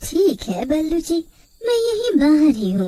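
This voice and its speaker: A woman's squeaky, cartoonish character voice at an extremely high pitch, with very wide pitch swings and a moderate pace. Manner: polite, soothing.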